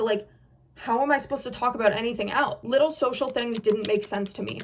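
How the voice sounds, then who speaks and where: A loud woman with an animated tone, high pitch, ordinary pitch variation and a very fast pace over noticeable background noise. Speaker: beauty influencer. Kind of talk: casual chat.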